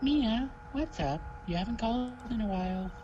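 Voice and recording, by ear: A put-on character voice, fairly high in pitch, at a moderate pace over loud background noise.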